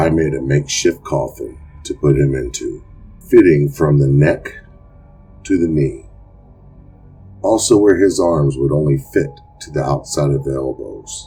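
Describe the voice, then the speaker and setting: In a put-on character voice, a man speaks at a very deep, low pitch and a moderate pace, leaving long, frequent pauses. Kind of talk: horror narration. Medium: read story. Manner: gloating, relishing cruelty.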